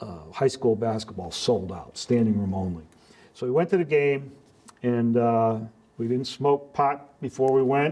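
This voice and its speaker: A man with a dark, mellow tone, medium pitch, lively intonation and a fairly slow pace. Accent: American. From Connecticut, Hartford area. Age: 60s. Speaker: local community member. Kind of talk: interview. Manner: halting, many repeats and fillers.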